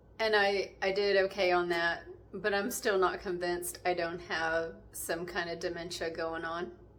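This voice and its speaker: In a room with audible echo, a woman with a fairly low pitch speaks in a monotone, flat intonation. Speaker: home cooking and gardening vlogger. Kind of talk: casual vlog talk. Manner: slow; halting, pausing to find words.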